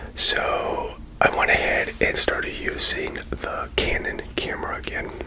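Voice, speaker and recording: The voice is a whisper. Noticeable background noise surrounds it. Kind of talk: ASMR whisper with casual talk to camera. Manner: whispered, soft.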